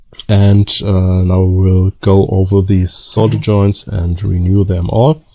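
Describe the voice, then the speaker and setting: In a German accent, a man talks at a very slow pace with a fairly low pitch. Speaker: DIY electronics repair youtuber. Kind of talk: tutorial. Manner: halting, many fillers.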